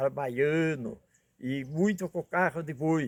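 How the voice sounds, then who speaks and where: The speech moves at a very slow pace, with a dry, close sound and no echo. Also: man. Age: 80s+. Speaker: retired cattle drover and ox-cart driver. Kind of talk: life story interview.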